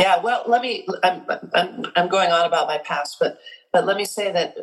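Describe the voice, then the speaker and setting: A woman with an American accent speaks in a normal speaking voice at a fairly quick pace, her medium pitch showing ordinary pitch variation. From US Midwest, South Dakota. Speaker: singer and voice coach. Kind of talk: interview.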